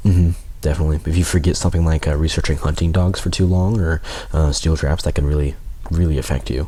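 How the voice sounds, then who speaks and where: A soft-spoken man, very deep and low in pitch, at a very fast pace and very even loudness, over noticeable background noise. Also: fairly even intonation. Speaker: game commentator. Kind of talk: live commentary. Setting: livestream.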